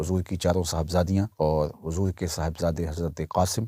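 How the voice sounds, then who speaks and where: A man's dark, mellow voice with fairly even intonation, dry and close with no echo, on a very clean recording with a silent background. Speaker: Islamic preacher. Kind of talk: Islamic sermon (bayan).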